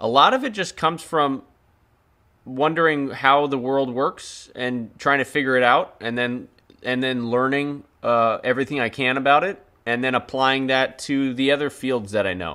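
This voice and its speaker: Bright and sharp in tone, a man's voice sits at a medium pitch with ordinary pitch variation and a moderate pace. The recording is very clean, the background silent. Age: 30s. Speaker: YouTube filmmaker and creator. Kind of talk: live stream Q&A chat.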